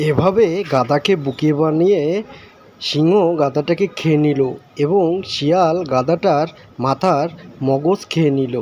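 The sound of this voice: Speaking slowly, a man uses a fairly high pitch and a slightly mellow tone. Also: ordinary pitch variation.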